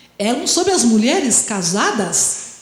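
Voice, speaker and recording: A woman's fairly slow speech with very wide pitch swings, amid noticeable background noise and audible room echo. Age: 60s. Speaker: history professor. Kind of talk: lecture.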